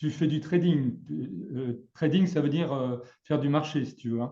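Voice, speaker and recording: A man's dark, mellow, somewhat breathy voice with fairly even intonation. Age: 60s. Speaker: trading trainer. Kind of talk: casual chat. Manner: halting.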